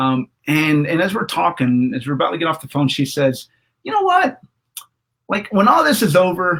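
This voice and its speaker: Using an ordinary speaking voice, a man talks at a moderate pace with fairly high pitch and lively intonation. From Houston, Texas. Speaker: church member interviewee. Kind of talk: interview.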